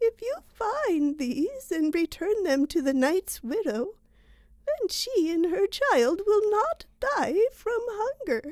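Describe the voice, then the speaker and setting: Speaking at a very slow pace, a woman uses a put-on character voice. Her extremely high pitch makes very wide swings. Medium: read story. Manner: gentle, solemn.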